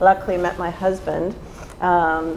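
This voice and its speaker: The intonation is monotone and flat, with noticeable background noise. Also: woman. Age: 60s. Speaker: real estate agent. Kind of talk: panel discussion.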